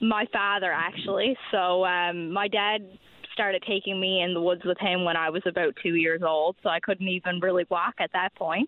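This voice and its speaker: In a Newfoundland accent, a woman talks at a moderate pace with a medium pitch and monotone, flat intonation. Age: young. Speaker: youth hunter. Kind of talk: radio interview.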